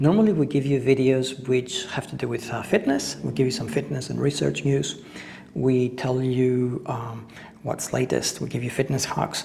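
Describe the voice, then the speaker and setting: A man talks at a moderate pace with a medium pitch and ordinary pitch variation. Noticeable background noise runs behind him. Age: 50s. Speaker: fitness instructor. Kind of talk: casual talk to camera.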